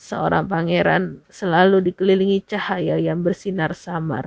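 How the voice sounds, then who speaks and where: Using a put-on character voice, a woman speaks at a moderate pace with a hoarse, fairly low pitch. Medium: read story.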